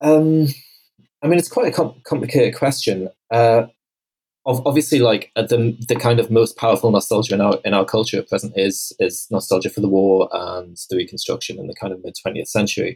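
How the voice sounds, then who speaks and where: This man speaks with a British accent at a medium pitch and a fairly quick pace. His voice is somewhat breathy, and his intonation is lively. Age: 40s. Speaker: writer and historian. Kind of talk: casual chat.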